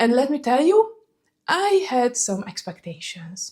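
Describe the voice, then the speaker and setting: With a Hungarian accent, a woman talks at a very slow pace in a dark, mellow tone. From Hungary. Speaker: fragrance vlogger. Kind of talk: casual vlog talk.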